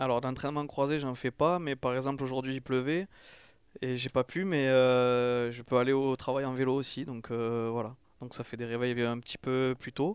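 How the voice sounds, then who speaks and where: With a plain, everyday voice, a man speaks at a medium pitch and moderate pace with fairly even intonation, on a very clean recording with a silent background. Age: 30s. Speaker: ultra-trail runner and gardener. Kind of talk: interview. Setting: recorded in Toulouse.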